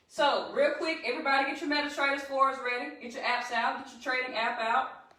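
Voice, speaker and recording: In a Southern US accent, a woman speaks at a fairly quick pace with a high, raised, projected voice. Her tone is animated, and there is audible room echo. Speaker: trading educator. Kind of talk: live-stream tutorial. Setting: live stream.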